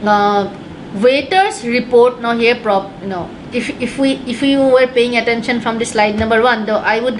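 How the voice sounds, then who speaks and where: There is noticeable background noise and audible room echo as a woman talks at a fairly high pitch with ordinary pitch variation. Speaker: test prep teacher. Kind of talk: online class lecture. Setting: webinar. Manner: fast; halting, many fillers.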